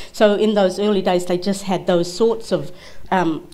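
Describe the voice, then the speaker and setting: A woman speaks with a fairly low pitch. Some room echo can be heard. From Kimberley, Western Australia. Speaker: barrister, panelist. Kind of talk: panel Q&A answer.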